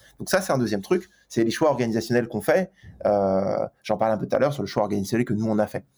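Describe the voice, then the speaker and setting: Lively intonation runs through this man's speech. He talks at a very fast pace and a medium pitch. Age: 30s. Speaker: HR executive at a large startup. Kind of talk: interview.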